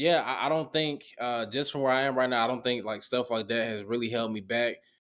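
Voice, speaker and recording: With a Southern accent, a man speaks at a fairly quick pace and medium pitch on a very clean recording with a silent background. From US South, Augusta, Georgia. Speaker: former college football player, marketing professional. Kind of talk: casual interview.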